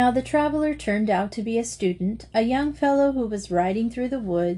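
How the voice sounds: The clip has a natural reading voice with lively intonation.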